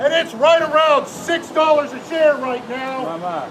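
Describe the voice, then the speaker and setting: A man speaks at an extremely high pitch with ordinary pitch variation. The room echo is audible and background noise is noticeable. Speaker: protester. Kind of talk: protest speech. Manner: loud. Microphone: no microphone.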